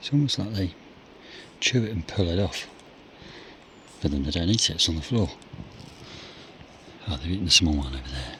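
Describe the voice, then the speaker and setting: Over noticeable background noise, a man with a very deep, low pitch and very wide pitch swings talks at a fairly quick pace, leaving long, frequent pauses. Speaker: hunter and conservation trapper. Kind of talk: outdoor vlog narration. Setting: outdoors. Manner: casual.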